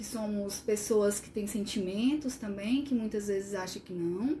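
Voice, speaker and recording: Noticeable background noise sits behind a woman speaking at a fairly slow pace. Her voice is fairly high with ordinary pitch variation. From Sobral, Ceará, Brazil. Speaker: occupational therapist. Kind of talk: casual chat.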